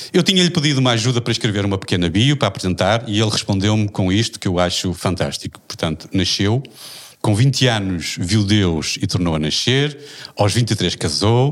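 A man with a fairly low pitch speaks in a normal speaking voice at a moderate pace. His intonation is lively and his loudness very even. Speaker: podcast moderator. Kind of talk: casual chat.

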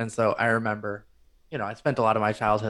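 A man with an American accent speaks at a fairly quick pace. He has an unremarkable speaking voice of medium pitch. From rural northern Michigan. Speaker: composer and music editor. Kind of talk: casual interview chat.

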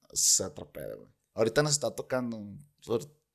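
This man speaks in a Mexican accent at a medium pitch. The background is quiet. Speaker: rapper. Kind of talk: casual chat.

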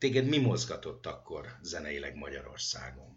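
A man speaks at a fairly slow pace in a room with audible echo. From Hungary. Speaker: radio host. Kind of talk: interview.

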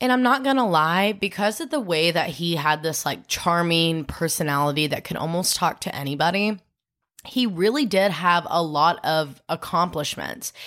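In a normal speaking voice, a woman talks at a moderate pace with a fairly low pitch and lively intonation, over a very clean recording with a silent background. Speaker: true crime podcast host. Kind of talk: casual chat with storytelling. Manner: chatty, laughs often.

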